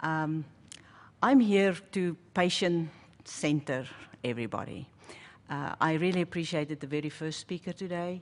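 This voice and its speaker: Speaking at a moderate pace with long, frequent pauses, a woman with a South African accent has a very deep, low pitch and ordinary pitch variation. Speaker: pharmacist. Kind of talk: panel presentation.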